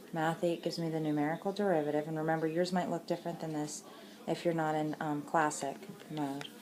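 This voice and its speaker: A woman with a very deep, low pitch talks very fast with fairly even intonation over noticeable background noise. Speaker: math teacher. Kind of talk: tutorial.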